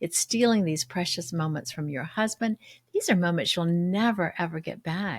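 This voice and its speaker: Very cleanly recorded against a silent background, a woman speaks in a somewhat breathy voice at a fairly low pitch. The sound is dry and close with no echo, and her moderate pace carries lively intonation. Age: 70s. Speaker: podcast host and parenting coach. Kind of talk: motivational monologue.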